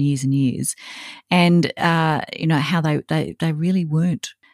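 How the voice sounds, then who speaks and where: At a moderate pace, a woman with an Australian accent speaks in a fairly low pitch, the sound dry and close with no echo. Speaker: podcast host. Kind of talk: scripted intro; interview.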